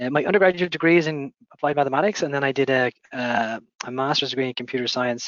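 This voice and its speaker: Here a man talks at a very fast pace. His voice is fairly high, with ordinary pitch variation. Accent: Dublin. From Ireland, Dublin. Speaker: company founder and CEO. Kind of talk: interview answers. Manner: measured with filler hesitations.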